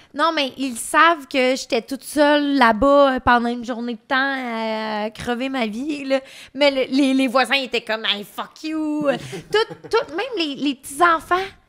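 A woman's high-pitched voice at a very slow pace, with ordinary pitch variation. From Quebec. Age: 20s. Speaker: adult content creator. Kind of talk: casual chat. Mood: animated, casual storytelling. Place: studio. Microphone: studio mic.

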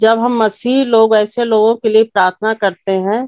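A woman speaking at a very slow pace, dry sound with no echo, against a quiet background. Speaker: speaker. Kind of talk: sermon. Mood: calm, earnest devotional. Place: home room. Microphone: phone near.

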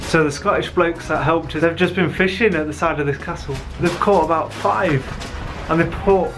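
A man at a moderate pace, ordinary pitch variation, clear music in the background. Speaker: travel vlogger. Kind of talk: casual vlog chat. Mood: excited, amused. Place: waterside. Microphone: phone near.

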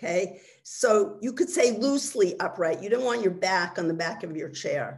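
Very wide pitch swings mark a woman's somewhat breathy, warm voice. The background is quiet. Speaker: webinar speaker and mindfulness teacher. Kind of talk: guided meditation, leading listeners through body relaxation and listening to sounds. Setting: video call webinar. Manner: slow, calm, soothing, with gentle pauses; instructive, warm and conversational in the talk. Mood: calm, soothing. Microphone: video call.

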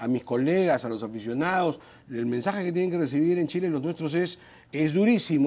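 At a very fast pace, a man talks with a fairly high pitch and a dark, mellow tone. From Peru. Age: 50s. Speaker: congressman; politician interview guest. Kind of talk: TV interview. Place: studio. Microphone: lapel.

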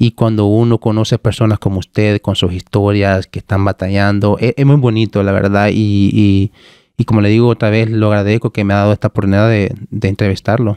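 At a fairly quick pace, a man with a fairly low, dark, mellow voice speaks in a monotone, flat way at very even loudness against a quiet background. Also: dry sound with no echo. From El Salvador, Cabañas; El Salvador. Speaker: podcast host, tech content creator. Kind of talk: casual interview chat. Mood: warm, grateful, relaxed. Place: studio. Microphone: studio mic.

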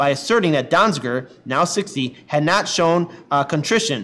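With lively intonation, a man talks at a fairly quick pace. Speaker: online news show host. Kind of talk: news commentary and article reading. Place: office.

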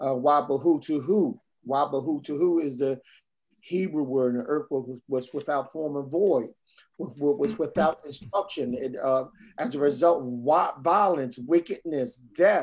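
At a fairly slow pace, the voice carries a slightly husky edge and ordinary pitch variation. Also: man, fairly high pitch for a man.

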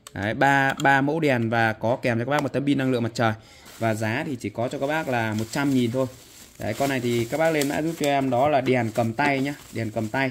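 A man at a fairly quick pace, with fairly even intonation over light background noise. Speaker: seller showing goods. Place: shop. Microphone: phone near.

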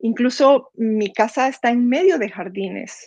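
A woman with a Guatemalan accent and fairly high pitch speaks at a fairly slow pace, the sound dry with no echo and the background quiet. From Guatemala, Zacapa. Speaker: near-death experience survivor; interview guest. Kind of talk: testimony. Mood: personal, emotional story. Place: home room. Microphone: video call.

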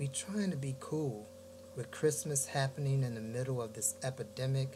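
A man with an American accent and ordinary pitch variation, over noticeable background noise. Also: moderate pace. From US Midwest, Gary, Indiana; Indiana. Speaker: poet. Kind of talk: poetry reading. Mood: reflective, warm. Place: home room. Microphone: webcam.

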